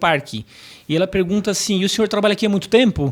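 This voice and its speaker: A man talks with ordinary pitch variation. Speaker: professor and motivational speaker. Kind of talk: podcast interview. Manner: storytelling.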